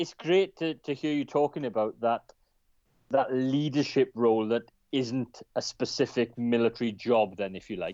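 At a moderate pace, a man talks in an ordinary speaking voice, with a medium pitch and ordinary pitch variation. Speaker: co-host, former soldier.

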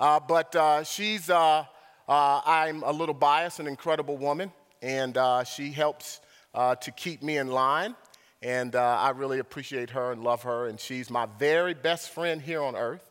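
At a fairly slow pace, a man speaks in a plain, everyday voice with fairly high pitch and ordinary pitch variation. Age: 50s. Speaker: visiting preacher. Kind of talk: sermon. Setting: church.

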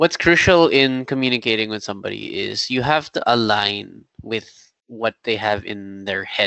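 The pace here is moderate. A man talks with an American accent. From Philippines. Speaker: design leader and startup co-founder. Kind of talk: podcast interview.

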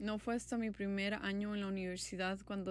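A woman speaks at a medium pitch. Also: very clean recording, silent background. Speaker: university student, podcast co-host. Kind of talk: casual chat.

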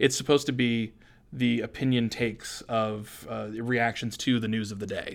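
With an American accent, a man speaks at a medium pitch and a moderate pace in a monotone, flat intonation. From Maine, US (Hampden). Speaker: think tank executive and radio host. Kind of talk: interview. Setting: studio.

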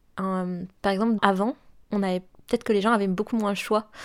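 At a moderate pace and with monotone, flat intonation, the speaker is heard on a very clean recording with a silent background. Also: woman. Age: 20s. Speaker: consultant. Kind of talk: testimony. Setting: at her home. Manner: halting.

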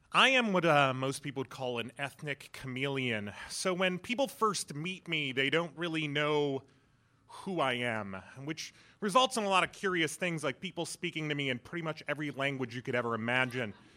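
With a General American accent, a man at a fairly high pitch speaks at a moderate pace in a bright, sharp, animated tone with lively intonation. The recording is very clean, with a silent background. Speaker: improv comedian. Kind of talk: stand-up storytelling. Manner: animated, humorous.

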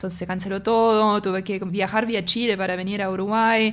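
Moderate pace and ordinary pitch variation. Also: woman. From northern Germany, North Sea island near Denmark. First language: German (speaking Spanish). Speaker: tech company executive and singer. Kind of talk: interview conversation. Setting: in person, same room as host.

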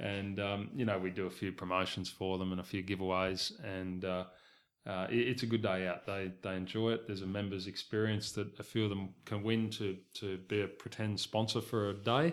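A man with an Australian accent, fairly low pitch and fairly even intonation, in a very clean recording with a silent background. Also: moderate pace. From Southeast Queensland, Australia. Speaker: race club chief executive. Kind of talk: interview. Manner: halting, many repeated words.

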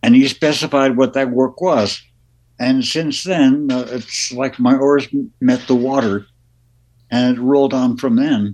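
An unremarkable speaking voice at a fairly slow pace, with fairly even intonation. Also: man, medium pitch for a man. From Las Vegas, born in New Jersey. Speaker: musician, keyboardist. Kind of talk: casual interview.

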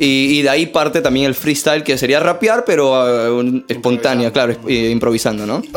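Against noticeable background noise, a man keeps a moderate pace at a medium pitch with hardly any pauses, very even loudness and ordinary pitch variation. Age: 20s. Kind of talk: testimony; casual chat. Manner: animated.

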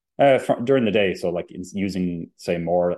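A man with a Limerick accent. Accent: Limerick Irish. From Limerick, Ireland. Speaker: company CEO and electricity expert. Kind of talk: interview.

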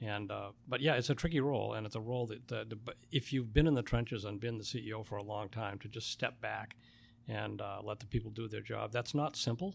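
This man's voice has vocal fry and ordinary pitch variation. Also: medium pitch for a man. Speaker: printing company owner. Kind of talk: interview. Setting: studio.

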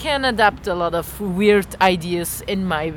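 A woman speaks with a Belgian accent. Noticeable background noise runs under her voice. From rural Belgium. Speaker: improv performer. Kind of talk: casual chat.

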